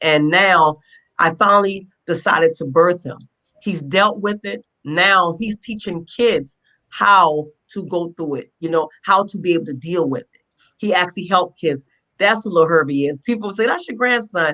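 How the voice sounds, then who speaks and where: With an American accent, a woman speaks at a moderate pace in a fairly low pitch, her tone bright and sharp, her pitch varying in an ordinary way and her loudness swinging widely. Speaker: author and motivational speaker. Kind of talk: interview. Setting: live video stream. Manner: halting, repeats words.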